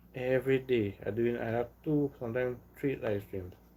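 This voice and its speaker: Speaking with a Trinidadian accent, a man uses a medium pitch and a dark, mellow tone, with ordinary pitch variation at a moderate pace. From Trinidad and Tobago. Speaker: live streamer. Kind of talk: casual chat. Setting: live stream at home. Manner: halting, repetitive.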